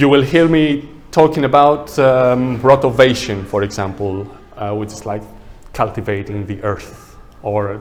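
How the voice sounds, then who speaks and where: A man with a non-native accent at a very slow pace, ordinary pitch variation and audible room echo. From Greece. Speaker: landscape architect. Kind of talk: workshop presentation. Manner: casual, conversational.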